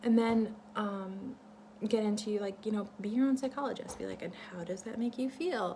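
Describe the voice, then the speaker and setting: Using an ordinary speaking voice, a woman talks at a fairly quick pace with a fairly high pitch and fairly even intonation. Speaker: vlogger sharing ideas for a book. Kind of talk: casual talk-to-camera monologue, partly reading a script. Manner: many fillers and restarts.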